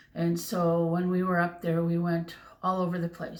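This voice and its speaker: At a moderate pace, a woman with a Canadian accent speaks at a medium pitch. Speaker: crochet vlogger. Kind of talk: casual chat. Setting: home bedroom. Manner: loud. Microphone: far from the mic.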